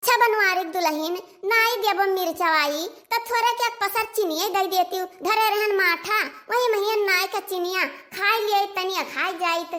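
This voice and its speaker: A squeaky, cartoonish character voice moves at a moderate pace with fairly even intonation. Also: woman, extremely high pitch for a woman. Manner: grumbling, curses under her breath.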